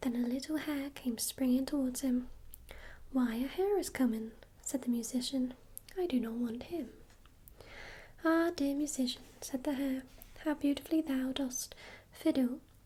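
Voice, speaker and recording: The speaker is soft-spoken with a calm tone. Long pauses come often, and the pace is moderate. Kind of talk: ASMR book reading of a fairy tale, bedtime story. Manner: soft-spoken, calm, relaxing.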